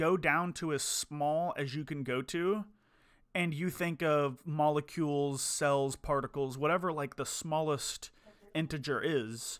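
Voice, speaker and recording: In a very clean recording with a silent background, a man talks at a fairly slow pace, his fairly high voice showing ordinary pitch variation. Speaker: podcast co-host. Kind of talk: casual chat. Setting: live stream. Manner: halting.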